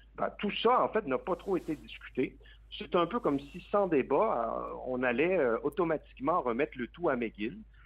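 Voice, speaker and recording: At a fairly slow pace, a man speaks in a fairly high voice with vocal fry and very wide pitch swings. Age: 30s. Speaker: advocacy group president. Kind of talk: radio interview.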